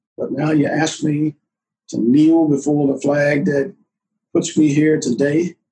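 A man with a Southern US accent speaks at a fairly slow pace. His voice is somewhat breathy and fairly high in pitch. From US South. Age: 80s+. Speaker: war veteran. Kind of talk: casual chat.

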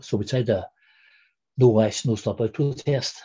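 In a Northern Irish accent, a man talks at a medium pitch with a dark, mellow tone, a somewhat breathy quality and fairly even intonation. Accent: Derry Northern Irish. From Derry, Northern Ireland. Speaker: former republican prisoner, interviewee. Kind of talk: interview, recounting personal history. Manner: halting, fillers.

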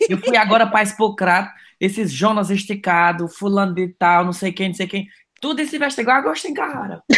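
With a Cearense accent, a man speaks at a high pitch and a fairly quick pace, using ordinary pitch variation. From Ceará, Brazil (Cariri). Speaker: comedic social media influencer. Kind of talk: casual chat.

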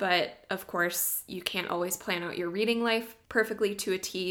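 A woman speaks with fairly even intonation. It is an ordinary speaking voice. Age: 20s. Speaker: podcast co-host, former English teacher. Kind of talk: casual book discussion.

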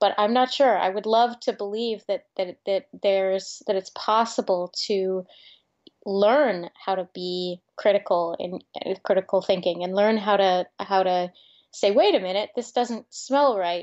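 The pace is fairly slow. It is a normal speaking voice with ordinary pitch variation. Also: woman, medium pitch for a woman. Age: 30s. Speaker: writer and soap-shop co-founder. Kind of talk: casual interview chat.

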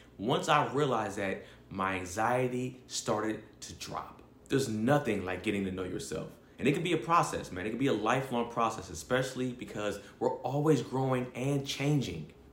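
Audible room echo surrounds a man speaking at a moderate pace. His voice sits at a medium pitch. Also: lively intonation. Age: 30s. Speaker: podcast panelist. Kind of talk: read-out advertisement.

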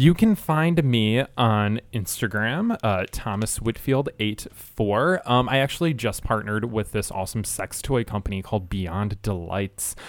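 With a plain, everyday voice, a man with an American accent talks at a fairly slow pace and medium pitch, his intonation lively and his speech with hardly any pauses. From Michigan, US Midwest. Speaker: sex educator. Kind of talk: interview.

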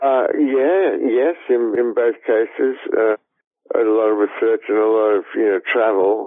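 A man with an Australian accent speaks at a fairly slow pace, his medium pitch showing ordinary variation and his loudness very even. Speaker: screenwriter. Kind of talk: interview.

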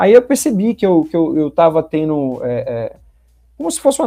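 Against a quiet background, a man with a high pitch and a dark, mellow tone speaks at a fairly quick pace. The sound is dry and close, with no echo. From Brazil, Bahia (Salvador). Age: 30s. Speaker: sales representative. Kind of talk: podcast interview.

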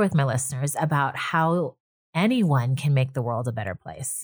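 A woman's somewhat breathy voice with lively intonation, on a very clean recording against a silent background. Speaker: podcast host. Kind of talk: interview.

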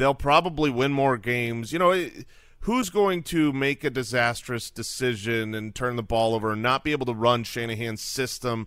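A man of medium pitch speaks at a moderate pace, his tone bright and sharp and his intonation lively. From Arizona. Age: 40s. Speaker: fantasy football podcaster. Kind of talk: casual sports chat.

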